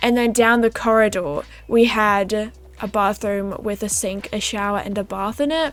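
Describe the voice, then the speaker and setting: A woman speaks at a moderate pace with a slight Australian accent. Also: fairly high pitch for a woman, ordinary pitch variation. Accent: mild Australian. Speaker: gaming YouTuber. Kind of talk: casual chat. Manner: animated.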